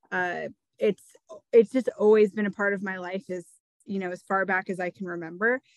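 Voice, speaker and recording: At a fairly quick pace, a woman speaks at a medium pitch with fairly even intonation. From US Midwest, eastern Iowa. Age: 30s. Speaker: outdoors educator and podcast host. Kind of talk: interview.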